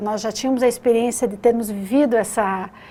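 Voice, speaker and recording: In a Curitiba accent, a woman talks fairly quickly at a fairly high pitch. Her tone is dark and mellow, and her intonation is fairly even. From southern Brazil, Curitiba. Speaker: lawyer and teacher. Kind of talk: interview.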